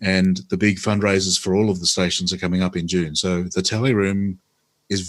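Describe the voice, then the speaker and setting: Fairly quick and fairly even in intonation, the speech comes in an Australian accent. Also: man. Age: 60s. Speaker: former politician and radio host. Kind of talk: interview.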